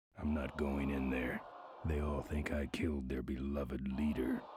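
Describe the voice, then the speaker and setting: This man uses a put-on character voice that is very deep and raspy. He keeps a flat monotone at a moderate pace, with very even loudness. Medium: video game. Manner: gruff, dry muttering.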